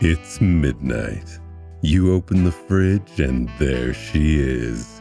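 The speech moves at a very slow pace, and the sound is dry with no echo. Faint music sits in the background. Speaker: voice actor. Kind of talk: TV commercial read.

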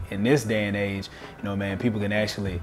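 A man's fairly quick speech runs alongside clear background music. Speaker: weightlifting coach. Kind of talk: interview answer. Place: home room. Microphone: lapel.

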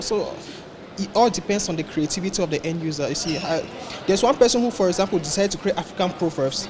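Words pour out at a very fast pace against noticeable background noise. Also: man. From Cameroon. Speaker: tech startup founder. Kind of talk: interview. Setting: tech conference. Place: hall.

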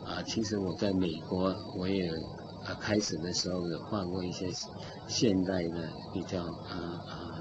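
Long, frequent pauses amid noticeable background noise. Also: man, moderate pace. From China. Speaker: painter. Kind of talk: interview. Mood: calm, reflective. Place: studio. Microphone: studio mic.

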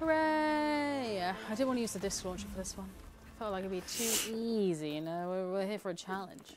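Music plays in the background as a woman talks at a moderate pace. Her medium pitch moves in very wide swings. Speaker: community manager and game streamer. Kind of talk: casual gameplay livestream chat. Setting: studio livestream.

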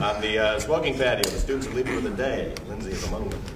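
Clear background noise sits behind a man's voice. His pitch varies in an ordinary way.

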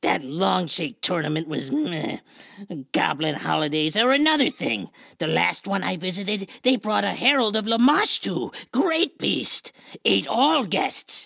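A put-on character voice at a middle pitch moves along at a fairly slow pace. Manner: broken, clipped speech.

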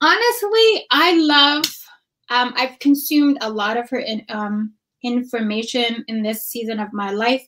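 A woman's high-pitched voice at a moderate pace, with ordinary pitch variation. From Ethiopia. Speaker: registered dietitian and wellness coach; podcast guest, business coach. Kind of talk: casual interview. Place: home room.

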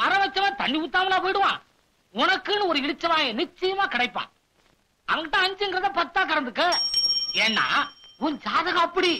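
A man's put-on character voice, extremely high-pitched with big pitch swings and a bright, sharp tone, at a moderate pace with long, frequent pauses

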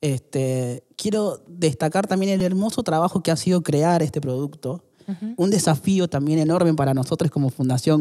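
A man's dark, mellow voice at a fairly high pitch, moderate pace and ordinary pitch variation, against a quiet background. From Argentina, Córdoba (born in Salta); Argentina. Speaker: podcast guest. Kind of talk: interview. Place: studio. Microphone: studio mic.

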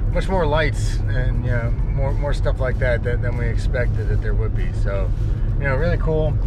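Loud background noise sits behind a man speaking at a moderate pace. His voice sounds dry with no echo. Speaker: road trip vlogger. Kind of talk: casual vlog chat. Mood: relaxed, upbeat. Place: car. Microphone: phone near.

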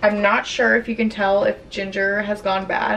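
Over faint background noise, a woman with a fairly bright tone, medium pitch and vocal fry speaks at a moderate pace.

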